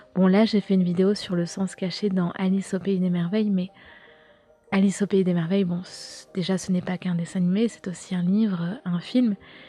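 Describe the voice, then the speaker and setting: Speaking at a moderate pace, a woman holds a medium pitch with monotone, flat intonation. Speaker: YouTuber and podcaster on occultism and pop culture. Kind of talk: casual solo podcast talk. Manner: hesitant, many fillers.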